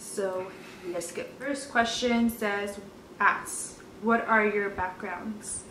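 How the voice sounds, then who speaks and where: A woman with an American accent talks at a very slow pace, her pitch fairly high and her intonation fairly even. Noticeable background noise and audible room echo fill the recording. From California (Orange, Anaheim). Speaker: lifestyle vlogger. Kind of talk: casual chat.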